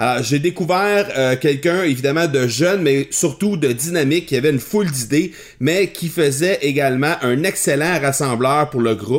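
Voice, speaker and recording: With an unremarkable speaking voice, a man talks at a moderate pace and fairly high pitch, keeping his loudness very even, his pitch variation ordinary and his pauses almost nonexistent. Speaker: podcast host and entrepreneur. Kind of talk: interview podcast.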